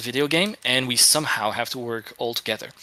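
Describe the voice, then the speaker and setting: A man speaks at a medium pitch with a French accent, his tone bright and sharp and his pitch varying in an ordinary way. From France. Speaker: game art director. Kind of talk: casual chat. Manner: halting, many fillers.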